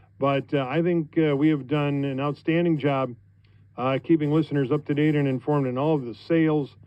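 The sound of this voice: Fairly high-pitched, a man speaks at a moderate pace with a clear, smooth tone and fairly even intonation.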